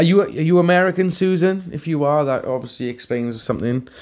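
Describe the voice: Moving at a fairly quick pace, a man talks with a fairly high pitch. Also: fairly even intonation, slightly mellow tone.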